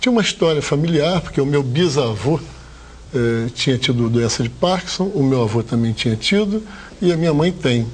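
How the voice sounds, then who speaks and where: A man speaks in a normal speaking voice, fairly high in pitch, at a moderate pace. His intonation is lively while his loudness stays very even. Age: 60s. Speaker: hotel owner, former dentist. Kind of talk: TV interview.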